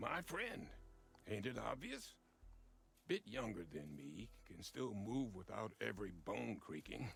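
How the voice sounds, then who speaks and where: A man speaks in a put-on character voice that is raspy and fairly low-pitched. He talks at a fairly slow pace with long, frequent pauses. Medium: video game. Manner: folksy, gruff.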